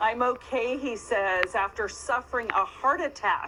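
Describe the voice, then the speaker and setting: Background noise is noticeable as a woman speaks very slowly. Her voice is high, with ordinary pitch variation. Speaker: TV news reporter. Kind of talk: TV news report.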